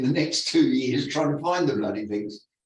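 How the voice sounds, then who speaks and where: A man talks in a fairly high, somewhat breathy voice with ordinary pitch variation, and audible room echo surrounds him. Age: 60s. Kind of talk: reading aloud own written interview answers. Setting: video call. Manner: halting, with fillers and repetitions.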